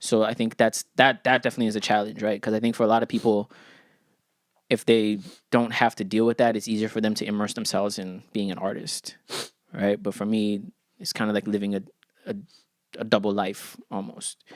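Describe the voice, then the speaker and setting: A man with an American accent talks in a fairly low pitch and a monotone, flat intonation at a fairly quick pace. He leaves long, frequent pauses, and the recording is very clean with a silent background. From Ghana. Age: 30s. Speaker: rapper. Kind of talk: casual chat.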